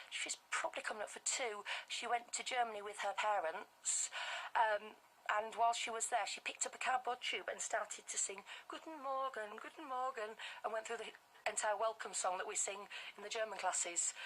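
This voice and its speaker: The speaker talks fairly quickly in a Yorkshire accent. Pitch variation is ordinary. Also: woman, fairly high pitch for a woman. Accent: Bradford, Yorkshire. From northern England (Bradford, West Yorkshire). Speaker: language group founder for toddlers. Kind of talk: live radio interview. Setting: radio studio.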